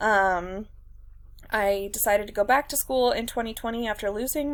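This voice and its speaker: A woman's fairly high-pitched voice. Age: 20s. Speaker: university student. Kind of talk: self-introduction video. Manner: hesitant, many fillers.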